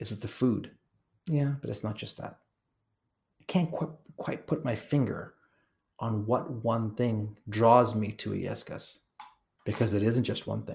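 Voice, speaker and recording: A man with a somewhat breathy, medium-pitched voice and ordinary pitch variation talks at a fairly slow pace, leaving long, frequent pauses. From Kenya. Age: 40s. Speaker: travel company owner and podcast host. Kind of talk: solo travel narration. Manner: animated.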